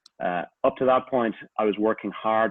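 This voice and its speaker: This man has a strong Irish accent. He speaks at a moderate pace with fairly even intonation. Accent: Irish, a little stronger than usual. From Ireland. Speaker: executive coach. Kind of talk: online talk / testimony.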